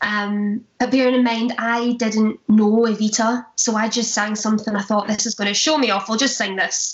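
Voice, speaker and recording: In a Glaswegian accent, a somewhat breathy voice speaks at a fairly slow pace with fairly even intonation. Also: woman. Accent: Glaswegian Scottish. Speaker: stage actress, musical theatre performer. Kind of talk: casual interview chat.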